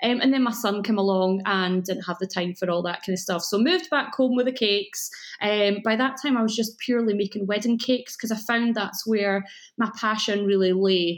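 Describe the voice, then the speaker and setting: This speaker has a Scottish accent and ordinary pitch variation. The background is quiet. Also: woman, fairly quick pace. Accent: mellow Scottish. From Scotland. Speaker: cake school owner. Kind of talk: podcast interview.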